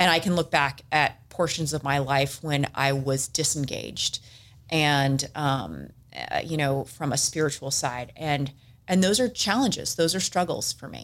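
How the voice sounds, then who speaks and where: A woman with an American accent and vocal fry talks at a fairly slow pace in a very deep, low voice, in a very clean recording with a silent background. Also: ordinary pitch variation. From Southern California, San Diego. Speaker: business executive. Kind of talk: casual interview.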